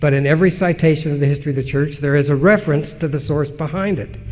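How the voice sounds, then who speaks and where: A man's somewhat breathy voice with ordinary pitch variation and audible room echo. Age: 60s. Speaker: historian and editor. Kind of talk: conference lecture Q&A. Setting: conference lecture.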